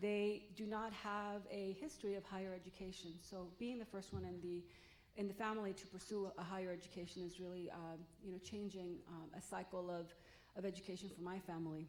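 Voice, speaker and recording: With noticeable background noise and audible room echo, a woman speaks at medium pitch and a fairly quick pace, her intonation fairly even. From Los Angeles, US (came from Mexico at 3). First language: Spanish. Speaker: college president candidate. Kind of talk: public forum talk.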